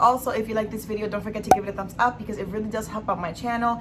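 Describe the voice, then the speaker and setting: A woman with a fairly high pitch talks in an animated tone, with noticeable background noise and an audible room echo. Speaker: beauty and lifestyle vlogger. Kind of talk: monthly favorites vlog.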